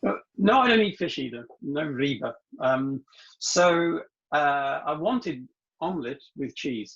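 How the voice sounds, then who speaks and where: A man speaks with a British accent. His high voice makes very wide pitch swings. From UK. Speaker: translation industry consultant. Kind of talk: interview storytelling. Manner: fast; hesitant fillers.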